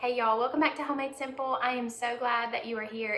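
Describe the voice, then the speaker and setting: A woman at a very fast pace and high pitch, with noticeable background noise and audible room echo. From US South. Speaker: cooking youtuber. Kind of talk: tutorial. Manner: friendly, upbeat.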